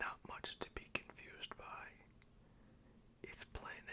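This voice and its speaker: Whispered words at a very slow pace amid noticeable background noise. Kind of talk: ASMR whispered poetry reading and commentary. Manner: whispered, soft, slow; tongue-in-cheek, sarcastic.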